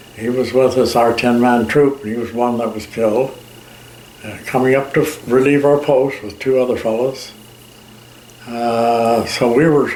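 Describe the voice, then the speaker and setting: With noticeable background noise behind him, a man talks at a moderate pace and medium pitch, his intonation fairly even. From Canada. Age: old. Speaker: war veteran. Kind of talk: interview answer, recounting war memories. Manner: hesitant, with fillers.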